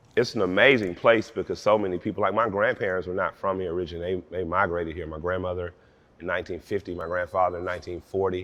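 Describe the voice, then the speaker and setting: A very fast man's voice, very deep and low, with an Atlanta accent and fairly even intonation. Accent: Southern US, Atlanta. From Atlanta, Georgia. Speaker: rapper. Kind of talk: interview answer. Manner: casual, conversational.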